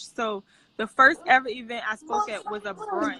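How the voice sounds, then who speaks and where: In a New Orleans accent, a woman talks at a high pitch with very wide pitch swings. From New Orleans, US South. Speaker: missionary and public speaker. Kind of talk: interview testimony. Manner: casual.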